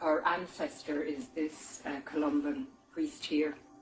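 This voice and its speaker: With an Irish accent, a woman talks at a fairly slow pace, her pitch swinging very widely. Music plays in the background. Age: 60s. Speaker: tapestry weaver, artist. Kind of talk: documentary interview. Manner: casual, hesitant with fillers.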